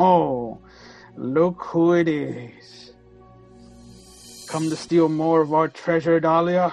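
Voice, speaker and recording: A man puts on a guttural character voice, pitched fairly high. He talks at a very slow pace with long, frequent pauses over faint background music. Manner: mocking.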